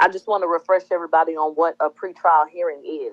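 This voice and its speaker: A woman's fairly low, normal speaking voice, fairly quick, with ordinary pitch variation. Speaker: online radio show host. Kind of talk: casual livestream commentary.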